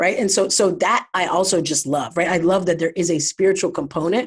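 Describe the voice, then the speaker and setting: The pace of this woman's speech is fairly quick. Her pitch stays medium. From US Midwest, Ohio (Columbus suburb). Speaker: behavioral scientist and company founder. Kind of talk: interview conversation.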